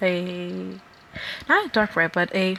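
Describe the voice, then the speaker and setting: Light background noise behind a woman's voice. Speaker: artist. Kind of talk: art tutorial narration. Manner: halting. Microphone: phone near.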